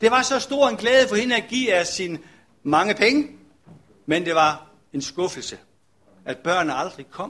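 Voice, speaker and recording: High-pitched male speech, fairly slow, with a bright, sharp tone, very wide pitch swings, and long, frequent pauses. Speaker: pastor. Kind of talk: sermon.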